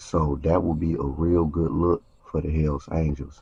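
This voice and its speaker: With a somewhat breathy quality, a man talks in a very deep, low voice and a monotone, flat intonation. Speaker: YouTube commentator on street and prison topics. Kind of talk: casual commentary monologue.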